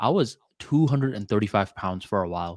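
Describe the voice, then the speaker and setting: In a dry, close sound with no echo, a man with a slight Bengali accent speaks at a fairly low pitch and a fairly quick pace, his pitch varying in an ordinary way. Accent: American English with slight Bengali tinge. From Bangladesh, raised in Florida, US. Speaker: podcast co-host. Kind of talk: casual chat. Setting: video call.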